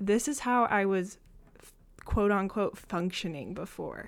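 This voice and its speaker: A woman with an ordinary speaking voice and an American accent speaks at a moderate pace and medium pitch with ordinary pitch variation, in a very clean recording with a silent background. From Michigan. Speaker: podcast guest sharing mental health experience. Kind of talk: casual chat.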